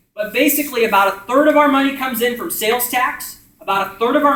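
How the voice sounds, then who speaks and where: A man with an American accent talks very fast in a raised, projected voice. His pitch is extremely high, with ordinary pitch variation. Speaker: community organizer leading a workshop. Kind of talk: group discussion explaining policy. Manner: loud talker; casual, filler words.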